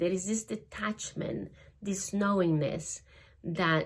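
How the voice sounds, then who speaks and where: A woman with a Spanish accent speaks at a very slow pace, her medium pitch showing ordinary variation. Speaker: spiritual energy teacher. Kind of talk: spiritual talk. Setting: studio. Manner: halting.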